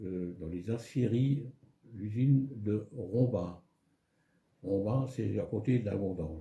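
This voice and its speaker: Speaking at a very slow pace, a man of medium pitch has a dark, mellow, somewhat breathy tone and lively intonation. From France, Moselle (Lorraine). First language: German (speaking French). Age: 80s+. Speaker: elderly local resident. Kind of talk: life story interview.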